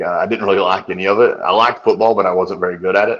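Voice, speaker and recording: Speaking very fast, a man talks with a Southern US accent. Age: 30s. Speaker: nutritionist. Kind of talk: podcast interview.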